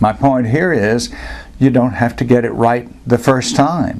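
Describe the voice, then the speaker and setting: The man has an ordinary speaking voice at medium pitch. He speaks at a fairly slow pace. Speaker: speech coach. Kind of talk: casual talk to camera. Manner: conversational.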